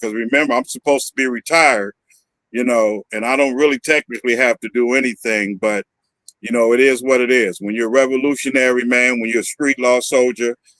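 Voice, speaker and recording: In an American accent, a man with a normal speaking voice and medium pitch talks at a fairly quick pace with fairly even intonation, in a dry, close sound with no echo. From Northern California. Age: 60s. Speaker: activist. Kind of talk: interview.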